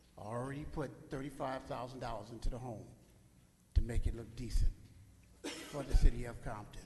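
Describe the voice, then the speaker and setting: A man talks at medium pitch and a fairly quick pace, yet with long, frequent pauses and big swings in loudness. His voice is somewhat breathy, and audible room echo surrounds it. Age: 70s. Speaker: public commenter at council meeting. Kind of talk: public comment speech. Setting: city council chamber. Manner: animated.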